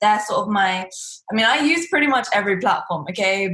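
Noticeable background noise is audible. Over it, a woman speaks at a fairly high pitch. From England. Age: 20s. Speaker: entrepreneur and business coach. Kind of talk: interview. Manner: blunt, to the point.

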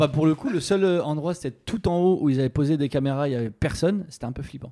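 A fairly high-pitched man at a very fast pace with ordinary pitch variation. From France, rural village. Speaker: comedian playing a character. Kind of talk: casual chat.

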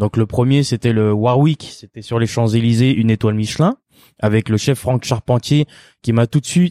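Dark and mellow in tone, a man speaks at a moderate pace and a medium pitch with ordinary pitch variation, recorded dry and close with no echo, very clean, with a silent background. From France. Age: 30s. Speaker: chef. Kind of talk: interview testimony. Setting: his restaurant. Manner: halting, many repetitions and fillers.

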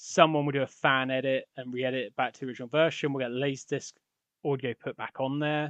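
Talking at a very fast pace, a man keeps his medium-pitched voice monotone and flat while his loudness swings widely. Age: 40s. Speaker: podcast host. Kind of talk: solo monologue.

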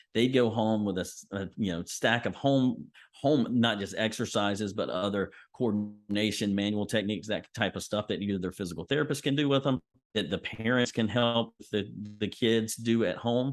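At a moderate pace, a man speaks in a plain, everyday voice, fairly low in pitch with ordinary pitch variation. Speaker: physical therapist. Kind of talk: casual interview.

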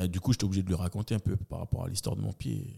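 Recorded with a dry, close sound and no echo, a man talks at a very fast pace with vocal fry. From New Caledonia, Magenta towers (Nouméa). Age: 40s. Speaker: event host and comedian. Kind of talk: casual interview chat.

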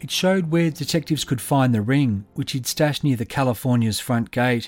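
A fairly high-pitched man with an Australian accent at a moderate pace, with ordinary pitch variation, on a very clean recording with a silent background. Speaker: podcast host and narrator. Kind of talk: true-crime narration, scripted storytelling in measured past tense. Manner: measured, steady, dramatic and suspenseful.

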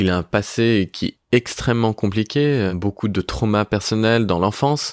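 An ordinary speaking voice from a man, fairly low in pitch with ordinary pitch variation, in a dry, close sound with no echo on a very clean recording with a silent background. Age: 20s. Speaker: Instagram content creator. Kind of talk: personal testimony in interview.

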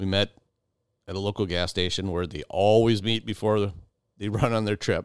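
A man at a fairly low pitch, moderate pace and fairly even intonation, an unremarkable speaking voice, dry and close with no echo. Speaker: outdoors podcast host. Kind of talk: storytelling. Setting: home basement podcast room.

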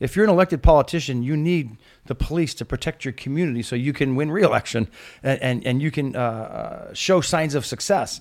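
Over a very clean recording with a silent background, a man with an American accent talks at a fairly quick pace. His is a plain, everyday voice with ordinary pitch variation. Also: fairly high pitch for a man. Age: 50s. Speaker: retiring police commander. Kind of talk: casual chat.

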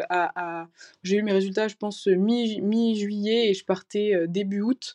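A woman speaks at medium pitch with a dark, mellow tone and fairly even intonation. The sound is dry and close with no echo, over a quiet background. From northern France, near Valenciennes. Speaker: military medical student. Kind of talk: interview.

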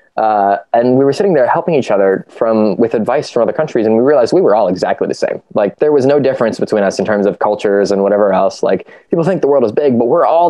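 This man speaks at a very fast pace with hardly any pauses, medium pitch, lively intonation and very even loudness. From US Midwest, Ohio. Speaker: youth nonprofit team member, educator. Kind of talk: casual chat.

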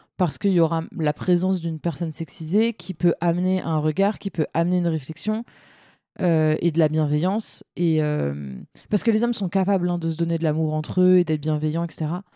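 At a fairly quick pace, a woman talks in a dark, mellow tone with a fairly low pitch and ordinary pitch variation, on a very clean recording with a silent background and a dry, close sound with no echo. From France, Seine-Saint-Denis. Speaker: feminist activist, association founder. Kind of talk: casual interview.

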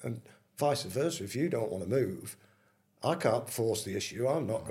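Man with a Manchester accent, dark and mellow in tone, somewhat breathy, at a fairly quick pace. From Manchester, England. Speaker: retired footballer. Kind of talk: casual interview.

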